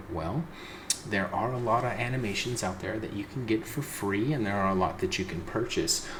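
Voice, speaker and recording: Whispering at a moderate pace, a man is heard with audible room echo and noticeable background noise. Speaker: indie game developer. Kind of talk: tutorial.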